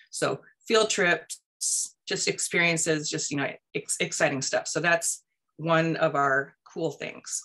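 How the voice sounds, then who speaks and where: A woman with a fairly low pitch and a bright, sharp tone, speaking at a very slow pace with an American accent, ordinary pitch variation and a quiet background. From US Pacific Northwest. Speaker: education nonprofit public relations director. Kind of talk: presentation. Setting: video call. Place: home room. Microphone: webcam.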